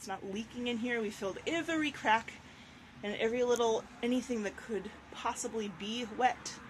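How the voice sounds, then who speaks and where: A woman with an unremarkable speaking voice talks at a moderate pace and fairly high pitch with ordinary pitch variation. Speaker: bus owner selling converted school bus; artist. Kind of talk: casual talk to camera, walkthrough tour. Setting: outdoors, road noise.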